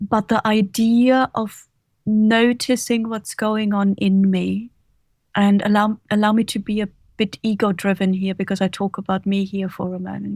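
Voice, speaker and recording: A woman speaks at a moderate pace in a medium-pitched, somewhat breathy voice with a German accent, calm in tone and monotone in intonation. The recording is very clean, with a silent background and a dry, close sound with no echo. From Germany, Bavaria. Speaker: author and leadership coach. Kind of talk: interview.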